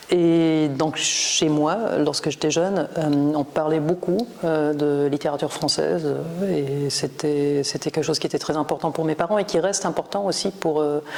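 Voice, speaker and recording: Over noticeable background noise, a woman with a very deep, low pitch speaks with very even loudness, fairly even intonation and hardly any pauses. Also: fairly slow pace. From Germany, northern Bavaria (Würzburg). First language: German (speaking French). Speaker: professor of Romance literature. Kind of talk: interview. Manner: hesitant, many fillers.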